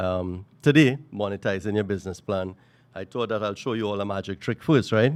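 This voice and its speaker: Recorded very cleanly over a silent background, a man talks at a fairly low pitch with fairly even intonation. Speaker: workshop speaker on entrepreneurship. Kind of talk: workshop talk. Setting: room with live audience, handheld mic. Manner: loud; hesitant, many fillers.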